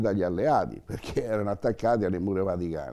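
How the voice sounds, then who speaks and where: A man speaks in a dark, mellow tone over a quiet background. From Rome, Italy; Italy. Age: 80s+. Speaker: Holocaust survivor and witness; witness. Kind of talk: testimony. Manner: halting, with repetitions. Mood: earnest, animated storytelling. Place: home room.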